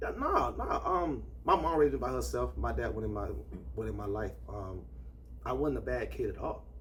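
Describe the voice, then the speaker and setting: In an American accent, a man speaks at a moderate pace, with audible room echo around him. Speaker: party host. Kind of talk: testimony.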